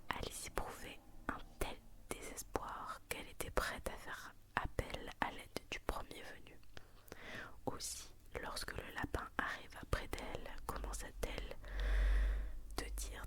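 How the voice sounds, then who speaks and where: A woman whispers very slowly, leaving long, frequent pauses, with noticeable background noise behind her. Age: 20s. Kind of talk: ASMR bedtime story reading. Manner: whispered.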